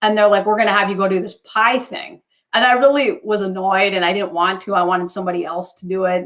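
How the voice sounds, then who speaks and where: This voice carries an Upper Midwest accent. The tone is animated and the pace fairly quick. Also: woman. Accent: Upper Midwest American. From northern Wisconsin. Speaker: talk show host, former TV news reporter. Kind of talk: casual chat, personal testimony.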